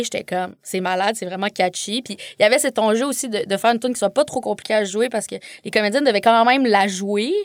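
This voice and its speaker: Very fast speech with ordinary pitch variation, in a dry, close sound with no echo. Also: woman. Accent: Quebec. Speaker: filmmaker. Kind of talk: casual chat. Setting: studio.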